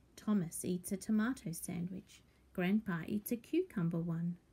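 The voice has vocal fry. Its tone is dark and mellow. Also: woman. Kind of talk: children's picture book read-aloud.

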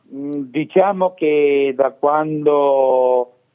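Against a quiet background, a man talks in a fairly high pitch with ordinary pitch variation. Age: 60s. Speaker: retired factory worker. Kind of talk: caller on live TV. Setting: phone line. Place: home room. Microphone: video call.

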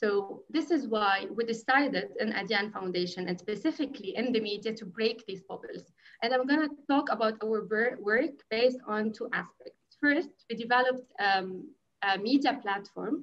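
The woman's intonation is lively as she talks at a moderate pace. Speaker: NGO media program specialist. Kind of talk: panel discussion. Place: home room. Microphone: video call.

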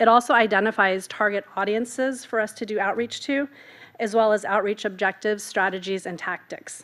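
In an ordinary speaking voice, a woman talks at a fairly quick pace with a fairly high pitch and fairly even intonation. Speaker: communications specialist; presenter. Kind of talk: staff presentation. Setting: council chamber meeting. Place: hall. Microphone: podium.

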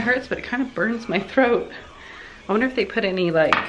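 Over noticeable background noise, a woman talks at a very fast pace. Her pitch varies in an ordinary way. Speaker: home vlogger. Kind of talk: casual vlog chat. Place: kitchen. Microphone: phone near.

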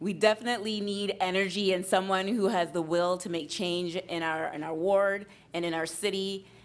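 A woman speaks with an unremarkable speaking voice. Her pitch is medium and her intonation fairly even. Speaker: municipal election candidate. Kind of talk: political debate. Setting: stage with audience.

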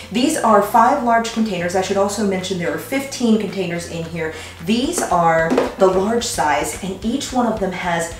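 Noticeable background noise and audible room echo surround speech at a moderate pace. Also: woman. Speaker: product reviewer. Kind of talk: product demo tutorial. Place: kitchen.

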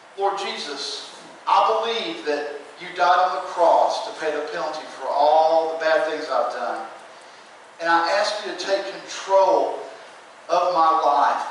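Strong room echo surrounds the voice, with light background noise underneath. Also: man, ordinary pitch variation, fairly slow pace. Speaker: presenter. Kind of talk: sermon. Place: church. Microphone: camera far.

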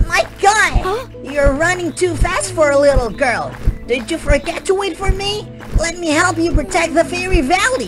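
Clear music in the background behind a put-on character voice at a moderate pace. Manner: eager, warm.

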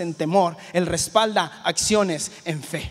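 A man talks at a very slow pace. Nothing else is heard behind him. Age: 20s. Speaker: youth pastor; preacher. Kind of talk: sermon. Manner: halting, repeats words. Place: church. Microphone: handheld.

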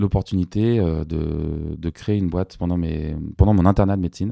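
A man talks at a moderate pace with a very deep, low pitch. His tone is dark and mellow. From Paris, France. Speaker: music producer and former doctor. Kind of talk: interview conversation. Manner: hesitant with frequent fillers.

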